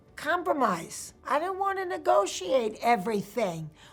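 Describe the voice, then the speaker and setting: Fairly high-pitched, a woman speaks fairly slowly with very wide pitch swings. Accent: New York. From Queens, New York. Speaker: actress, comedienne. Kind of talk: interview answer.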